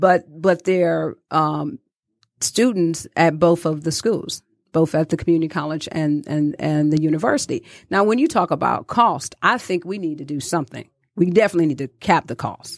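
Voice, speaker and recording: A plain, everyday voice speaks at a moderate pace with ordinary pitch variation, in a dry, close sound with no echo. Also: woman, fairly low pitch for a woman. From Detroit, Michigan. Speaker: community activist. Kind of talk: casual interview.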